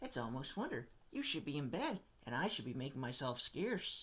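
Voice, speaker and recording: A put-on character voice at a fairly quick pace, pitched low-to-middle. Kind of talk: bedtime story. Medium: read story.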